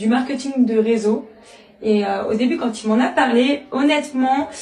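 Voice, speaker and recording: A woman speaks with ordinary pitch variation. There is audible room echo and noticeable background noise. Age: 30s. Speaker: network marketing member and school assistant. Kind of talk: interview testimony. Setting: interview. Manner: hesitant, many fillers.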